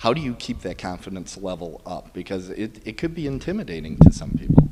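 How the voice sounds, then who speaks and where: Over noticeable background noise, a man talks at a fairly quick pace in a fairly low pitch, with very wide pitch swings and big swings in loudness. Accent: American. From US Midwest, Milwaukee, Wisconsin. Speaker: podcast interviewer. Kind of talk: interview. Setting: bridal shop.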